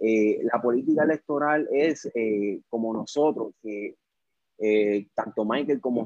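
At a fairly slow pace, a man uses a normal speaking voice with a medium pitch and fairly even intonation. The sound is dry and close, without echo. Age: 20s. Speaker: political candidate. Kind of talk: political discussion on Facebook Live. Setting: Facebook Live.

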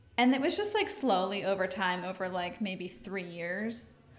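A woman's medium-pitched voice at a moderate pace, with audible room echo. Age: 30s. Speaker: stay-at-home mom, gym member. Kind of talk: casual interview.

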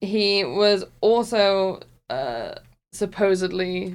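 A woman is speaking. She talks with a West Country accent. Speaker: podcast co-host. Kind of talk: casual chat.

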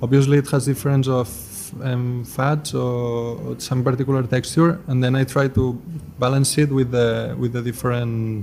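A man speaks at a medium pitch in a monotone, flat intonation. Noticeable background noise sits behind him. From Spain, Barcelona. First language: Spanish or Catalan. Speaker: pastry chef and chocolatier. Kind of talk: interview.

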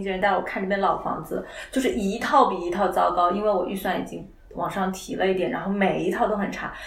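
With noticeable background noise and audible room echo, a woman speaks at a medium pitch and a fairly quick pace. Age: 30s. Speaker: content operations director. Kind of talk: casual chat.

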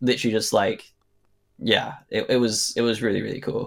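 Recorded very cleanly against a silent background, a man with a British accent speaks at a moderate pace. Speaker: actor. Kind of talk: casual interview. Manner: casual, hesitant.

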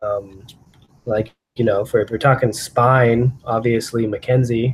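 A man's somewhat breathy voice stays at a medium pitch with monotone, flat intonation and a fairly slow pace. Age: 30s. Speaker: chiropractor. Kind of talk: casual interview.

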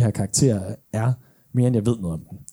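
Very fast, a man talks in a dark, mellow tone. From Denmark. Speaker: podcast host. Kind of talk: live podcast recording. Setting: stage with audience.

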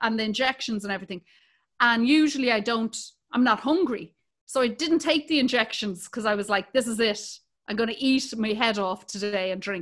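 A woman speaks in an Irish accent at a fairly quick pace. Her pitch is fairly high, with ordinary pitch variation. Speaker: comedian and podcast co-host. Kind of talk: casual chat.

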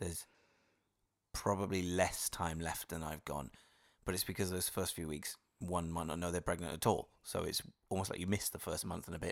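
On a very clean recording with a silent background, a man speaks in a very deep, low pitch with monotone, flat intonation. His pace is fairly quick, broken by long, frequent pauses. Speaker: podcast host, expectant father. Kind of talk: casual chat.

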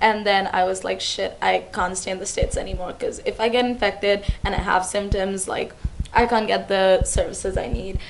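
With music in the background, a woman speaks at a fairly quick pace. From India. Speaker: international university student. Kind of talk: casual chat.

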